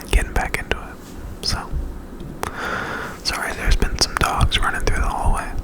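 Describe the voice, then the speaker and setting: Whispering with long, frequent pauses, a man speaks over noticeable background noise. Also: moderate pace. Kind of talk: whispered ASMR ramble. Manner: whispered; casual, rambling.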